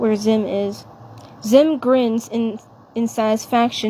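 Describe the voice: Plain reading aloud, intonation fairly even.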